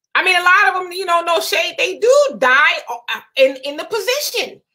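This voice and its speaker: The voice is raised and projected, with a bright, sharp tone. Its pitch swings very widely at a moderate pace. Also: woman. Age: 30s. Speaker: livestream talk show host. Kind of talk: casual live chat reading viewer comments.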